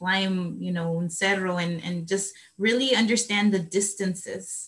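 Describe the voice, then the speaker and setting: There is a somewhat breathy quality to the voice. The speaker is a woman. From El Salvador, city. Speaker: moderator. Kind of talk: Q&A interview.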